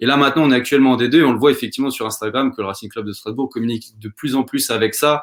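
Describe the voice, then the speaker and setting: A man speaks at a very fast pace with hardly any pauses. His pitch is medium, with fairly even intonation. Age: 20s. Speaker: football coach and shirt collector. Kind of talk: casual interview.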